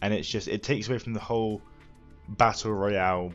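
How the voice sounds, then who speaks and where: Music plays in the background as a man speaks in a deadpan tone with fairly even intonation. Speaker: gaming news presenter. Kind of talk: casual talk to camera.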